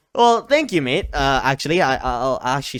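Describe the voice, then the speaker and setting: A man speaks at a moderate pace. The recording is very clean with a silent background. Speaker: streamer answering comments. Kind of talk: casual chat. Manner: yells while streaming; halting, hesitant.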